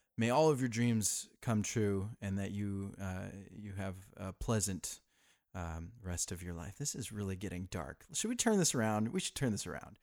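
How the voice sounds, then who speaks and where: An ordinary speaking voice from a man, fairly low-pitched and fairly slow, on a very clean recording with a silent background. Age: 30s. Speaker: podcast host. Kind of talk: casual monologue. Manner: laughing often.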